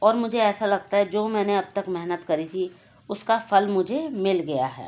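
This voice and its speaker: Ordinary pitch variation shapes a woman's medium-pitched voice. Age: 60s. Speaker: YouTube channel host. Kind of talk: personal testimony.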